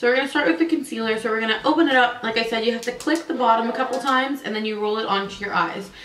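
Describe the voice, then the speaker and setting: The speech runs at a very fast pace with ordinary pitch variation. Audible room echo and noticeable background noise fill the recording. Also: woman. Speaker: beauty vlogger. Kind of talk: product review tutorial. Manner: casual, conversational.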